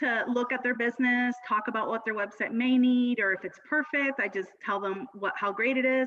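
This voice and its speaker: A woman speaks at a moderate pace in a high pitch, with ordinary pitch variation. Noticeable background noise can be heard. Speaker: Pinterest marketing strategist. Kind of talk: video call interview. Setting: video call.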